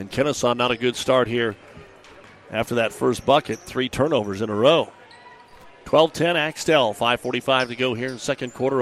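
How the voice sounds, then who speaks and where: Speaking in a normal speaking voice with an American accent, a man at a medium pitch keeps a moderate pace and fairly even intonation. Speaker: radio play-by-play announcer. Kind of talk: live play-by-play basketball commentary. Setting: radio broadcast from a gym. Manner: wry, folksy asides between plays.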